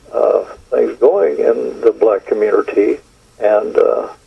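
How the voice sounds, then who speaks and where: A man's extremely high voice with fairly even intonation over noticeable background noise. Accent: American. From Texas. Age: 80s+. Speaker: retired stuntman and actor. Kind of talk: interview. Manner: halting, many fillers.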